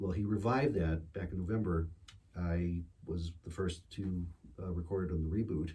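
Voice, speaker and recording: Speaking with an American accent, a man with a very deep, low pitch has a dark, mellow, somewhat breathy tone and fairly even intonation. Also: moderate pace. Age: 60s. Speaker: singer-songwriter. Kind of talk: casual chat. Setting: studio with small audience. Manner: hesitant, many fillers.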